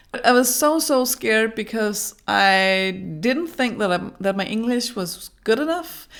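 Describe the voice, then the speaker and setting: Speaking with a Danish accent, a woman uses a fairly high pitch and lively intonation at a fairly slow pace. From Denmark. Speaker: brand designer and small business coach. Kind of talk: vlog advice talk. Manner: halting.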